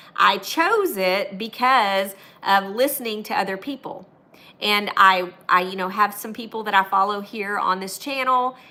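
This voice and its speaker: Her loudness takes big swings as the woman speaks at a fairly slow pace in a medium pitch with ordinary pitch variation. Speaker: YouTuber and online business coach. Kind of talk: live stream talk. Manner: animated.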